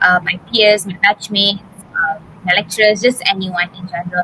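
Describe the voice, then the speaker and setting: In a Tamil accent, a woman speaks at medium pitch and a moderate pace over noticeable background noise. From Malaysia. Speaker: pharmacy student. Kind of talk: interview. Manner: hesitant, many fillers.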